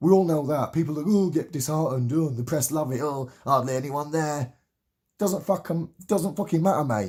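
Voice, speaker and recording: A man talks at a moderate pace, his voice somewhat breathy. The recording is very clean with a silent background. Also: ordinary pitch variation. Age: 30s. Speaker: political activist vlogger. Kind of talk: political rant. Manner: animated.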